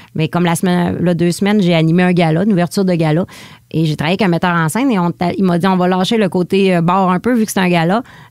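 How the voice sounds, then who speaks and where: A woman with a Lac-Saint-Jean accent talks at a very fast pace in a fairly low pitch, her loudness staying very even. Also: fairly even intonation. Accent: Lac-Saint-Jean Quebec French. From Quebec, Lac-Saint-Jean. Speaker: stand-up comedian. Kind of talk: interview. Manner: casual, eats her words at times.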